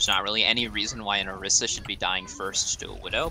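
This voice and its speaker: Noticeable background noise runs behind the man as he speaks fairly quickly. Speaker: esports coach. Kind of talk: VOD review coaching session. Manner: fast; aggressive, intense.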